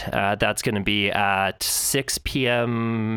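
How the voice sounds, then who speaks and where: Very slow, monotone, flat delivery over noticeable background noise. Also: man. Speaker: podcast co-host. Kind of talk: casual chat. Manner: halting.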